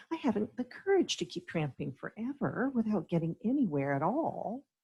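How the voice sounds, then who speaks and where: A put-on character voice, whiny and fairly high in pitch, with very wide pitch swings at a moderate pace. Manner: whimpering, whiny.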